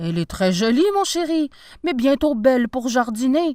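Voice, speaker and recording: In a put-on character voice pitched high, a woman speaks with a dry, close sound and no echo. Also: moderate pace. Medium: read story. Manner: warm, lively.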